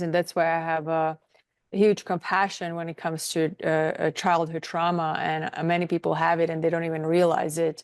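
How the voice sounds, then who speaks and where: A woman's fairly low voice with a non-native accent, against a quiet background. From outside the US, non-English-speaking country. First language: not English. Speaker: nutritionist and wellness coach. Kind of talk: interview. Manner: halting, with fillers.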